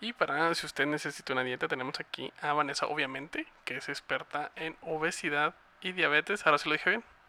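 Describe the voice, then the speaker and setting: Very fast and bright with a sharp tone, a man with a Mexican accent talks at a fairly high pitch with ordinary pitch variation. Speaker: podcast producer and co-host. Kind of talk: casual chat.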